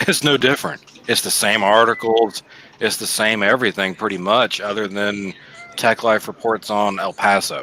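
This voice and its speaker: A man with a fairly low pitch speaks at a moderate pace with fairly even intonation over noticeable background noise. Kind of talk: casual chat. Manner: loud.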